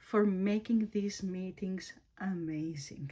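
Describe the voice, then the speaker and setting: Somewhat breathy, a woman with a Greek accent speaks in a dark, mellow tone. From Greece. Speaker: planner YouTuber. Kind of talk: casual tutorial. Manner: halting, with fillers and self-corrections.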